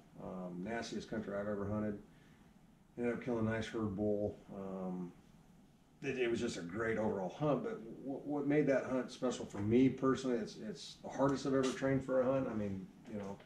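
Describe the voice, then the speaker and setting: Amid light background noise and audible room echo, a man speaks at a fairly quick pace with ordinary pitch variation. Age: 40s. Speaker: archery shop owner. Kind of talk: casual chat. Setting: archery shop. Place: shop. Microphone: camera far.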